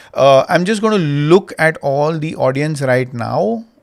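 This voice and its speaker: Using a normal speaking voice, a man talks at a fairly slow pace with a fairly high pitch and ordinary pitch variation. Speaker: school founder and marketing instructor. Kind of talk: online master class.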